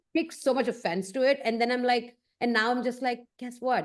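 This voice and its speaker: Against a quiet background, a woman talks at a moderate pace with an Indian accent. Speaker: photographer. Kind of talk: casual chat.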